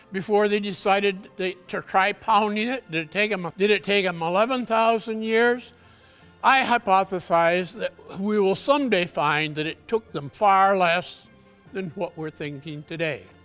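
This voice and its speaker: A man speaks at a fairly slow pace in a high voice with ordinary pitch variation, faint music playing behind him. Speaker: conference presenter. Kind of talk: lecture. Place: hall.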